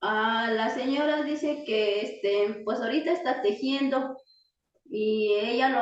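A woman with a normal speaking voice, fairly high in pitch, with ordinary pitch variation. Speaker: artisan. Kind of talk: interview.

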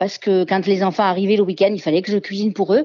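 The background is quiet as a woman speaks at medium pitch. Her tone is dark and mellow. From southern France, Ardèche and Marseille. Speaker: home cook and barbecue champion. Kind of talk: radio interview. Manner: hesitant, many fillers.

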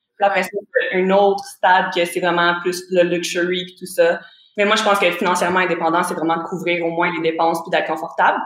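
With a Quebec accent, the speaker goes at a fairly quick pace in a monotone, flat intonation. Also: woman, fairly low pitch for a woman. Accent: Québécois French. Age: 20s. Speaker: forex trader and real estate investor. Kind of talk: casual interview chat. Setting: remote call.

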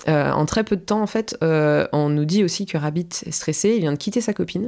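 On a very clean recording with a silent background, a woman with a dark, mellow tone and a fairly low pitch speaks at a fairly quick pace with ordinary pitch variation. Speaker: film podcast co-host. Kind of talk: casual chat.

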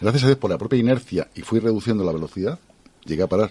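Very fast and lively in intonation, a man speaks with a Spanish accent at medium pitch. His tone is dark and mellow. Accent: Peninsular Spanish. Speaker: radio co-host and interviewer. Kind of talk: radio interview.

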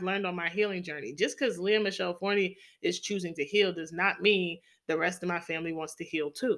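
A woman's bright, sharp, animated tone at a moderate pace, on a very clean recording with a silent background. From New York City. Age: 30s. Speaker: podcast host. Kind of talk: casual monologue.

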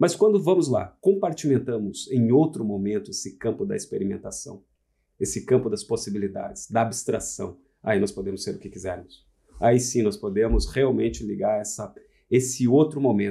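A man's dark, mellow voice with vocal fry and big swings in loudness. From Santa Catarina, southern Brazil. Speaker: furniture designer and architect. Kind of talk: casual chat. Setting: studio. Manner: formal.

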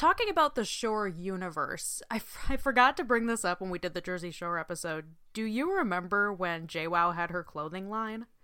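Lively intonation colors a woman's medium-pitched voice with an American accent, in a very clean recording with a silent background. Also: moderate pace. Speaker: podcast host, guest. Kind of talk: casual chat.

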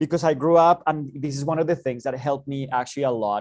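In a Spanish accent, the voice moves at a fairly quick pace with ordinary pitch variation. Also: man. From Bogota, Colombia. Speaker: professor and startup director. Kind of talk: interview, conversational.

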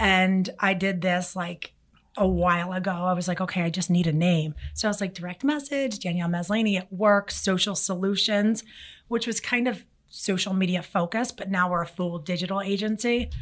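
An ordinary speaking voice with an American accent, ordinary pitch variation and a moderate pace, on a very clean recording with a silent background. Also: woman, medium pitch for a woman. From Philadelphia, US. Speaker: marketing agency CEO. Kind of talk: interview. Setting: studio.

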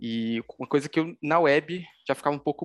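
Recorded with a dry, close sound with no echo over a quiet background, a man speaks at a moderate pace. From Pernambuco, Brazil (Recife area). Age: 20s. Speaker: mobile developer. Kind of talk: interview. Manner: halting, many fillers.

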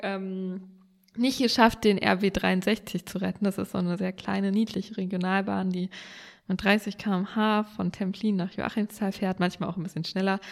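A woman talks in a normal speaking voice at medium pitch. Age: young. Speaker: state politician and podcast co-host. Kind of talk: casual chat. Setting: remote call from home office.

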